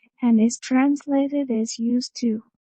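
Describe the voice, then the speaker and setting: A woman talks at a fairly slow pace with a fairly high pitch. Her intonation is monotone and flat. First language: Spanish. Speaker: English student. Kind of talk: reading aloud.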